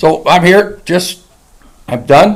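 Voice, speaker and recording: Audible room echo follows a man as he talks. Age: 70s. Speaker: county emergency manager and small-town mayor. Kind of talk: council meeting presentation. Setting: council meeting room with podium mic. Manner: halting.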